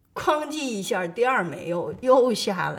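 A woman's fairly slow speech with very wide pitch swings and audible room echo. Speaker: retired war correspondent. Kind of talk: interview testimony.

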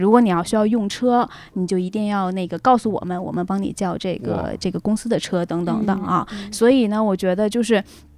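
At a fairly quick pace and with hardly any pauses, a woman speaks at medium pitch with fairly even intonation. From Northeast China. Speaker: returning guest sharing travel and work experiences. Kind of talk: casual chat. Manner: halting, many fillers.

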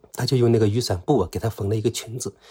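Somewhat breathy speech at a fairly quick pace with fairly even intonation. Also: man, very clean recording, silent background. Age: middle-aged. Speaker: former investigative journalist. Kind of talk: personal account.

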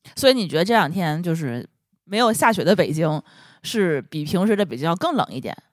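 This woman talks at a fairly quick pace. Her fairly low voice swings very widely in pitch. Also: very clean recording, silent background. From Tianjin. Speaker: podcast host. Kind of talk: casual chat.

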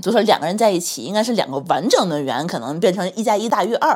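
A woman talks at a very fast pace. Her voice has vocal fry. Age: 30s. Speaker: podcast co-host. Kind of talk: casual chat.

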